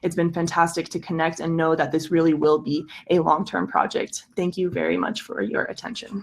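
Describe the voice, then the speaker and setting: A woman's normal speaking voice, fairly low in pitch and fairly even in intonation, at a moderate pace. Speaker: project pitch presenter. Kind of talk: project pitch. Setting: video call.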